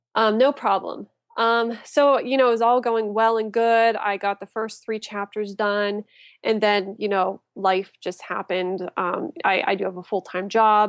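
A woman with an American accent and a normal speaking voice, fairly high-pitched, at a fairly slow pace, in a dry, close sound with no echo. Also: fairly even intonation, quiet background. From western Pennsylvania, near Pittsburgh. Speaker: author. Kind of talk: casual interview chat.

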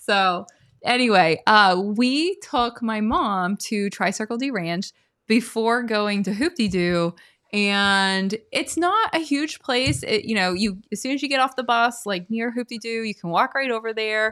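A woman's ordinary speaking voice, fairly high and lively in intonation, at a fairly slow pace against a quiet background. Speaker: podcast co-host. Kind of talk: casual chat.

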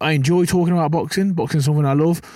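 The recording is very clean, with a silent background. A man with an English Midlands accent speaks in a dark, mellow tone. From English Midlands, Burton upon Trent. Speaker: professional boxer. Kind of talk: casual interview chat. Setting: outdoors, dugout by rugby pitch.

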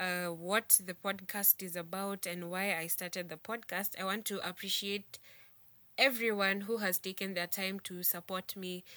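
A woman speaks at a moderate pace and medium pitch, her tone bright and sharp but her intonation monotone and flat. The sound is dry and close with no echo, on a very clean recording with a silent background. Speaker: podcast host. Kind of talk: casual monologue. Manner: casual, code-switching.

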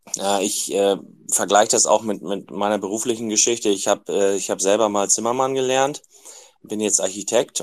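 A man with a normal speaking voice, fairly low pitch, fairly even intonation and a moderate pace. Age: 50s. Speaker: trained carpenter joining a live audio room. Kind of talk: casual discussion.

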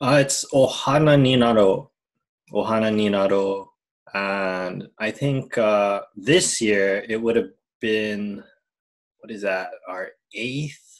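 Very slowly, a man with a Hawaiian accent speaks in a fairly low voice with ordinary pitch variation. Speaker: English teacher, podcast co-host. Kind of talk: casual chat.

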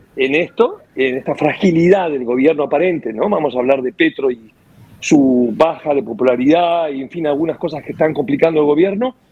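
With noticeable background noise behind him, a man talks at a fairly quick pace in a fairly high voice with ordinary pitch variation. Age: 60s. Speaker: radio host. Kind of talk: radio talk show discussion. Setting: radio studio.

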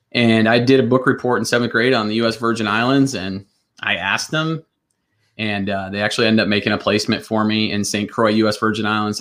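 A man with an American accent speaks at a very fast pace, his medium pitch carried on fairly even intonation. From US Midwest, northwest Iowa. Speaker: school administrator. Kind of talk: casual interview. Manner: hesitant with fillers.

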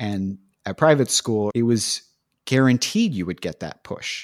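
Recorded very cleanly against a silent background, a man with a West Coast American accent speaks at a moderate pace in a dry, close sound with no echo. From San Francisco Bay Area, California. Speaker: film graduate in entertainment industry. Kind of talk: casual interview conversation.

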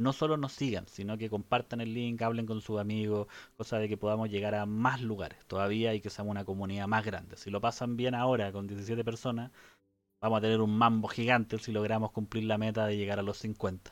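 Fairly quick, monotone, flat speech from a man with a fairly low pitch. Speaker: podcast co-host. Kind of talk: casual chat.

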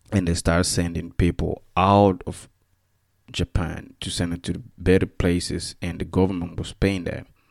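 In a Central African accent, a man with a very deep, low pitch speaks at a moderate pace with monotone, flat intonation. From Equatorial Guinea. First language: Spanish. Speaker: podcast host. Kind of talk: casual monologue, solo podcast talk. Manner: halting, many fillers and restarts.

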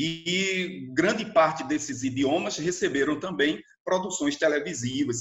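A man speaks at a fairly high pitch in an unremarkable speaking voice. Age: 40s. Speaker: literature teacher. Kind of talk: educational talk. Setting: remote recording.

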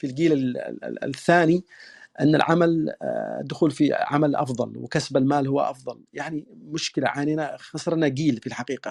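Against a quiet background, a man with a fairly high pitch speaks in a monotone, flat way, the sound dry and close with no echo. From southern Yemen (Yafa). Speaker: lawyer. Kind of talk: interview, formal discussion. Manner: formal, fluent, with fillers.

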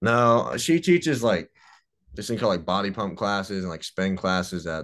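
Over a quiet background, a man with a Mississippi accent talks at a moderate pace. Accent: US Southern (Mississippi). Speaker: college baseball pitcher. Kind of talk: casual interview.

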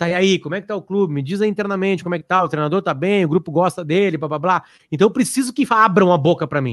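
A man with a high pitch at a very fast pace. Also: ordinary pitch variation, quiet background. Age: 40s. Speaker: journalist and podcast host. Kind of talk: casual interview.

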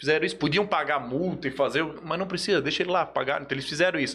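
Against noticeable background noise, a man speaks very fast with ordinary pitch variation. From Joinville, Santa Catarina, Brazil. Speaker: sports agent. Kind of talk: casual chat.

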